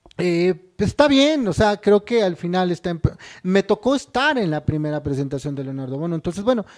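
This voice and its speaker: A man speaks at a fairly quick pace with very wide pitch swings. Behind him the background is quiet. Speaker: interview guest, theater commentator. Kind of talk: interview answer. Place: studio. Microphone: handheld.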